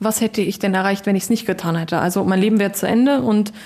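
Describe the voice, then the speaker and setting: A woman talks at a very fast pace in a dark, mellow tone. Her voice is somewhat breathy, with fairly even intonation. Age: 30s. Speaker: acid attack survivor and beautician. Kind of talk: interview. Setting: in person. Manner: frequent hesitations (ähm, äh).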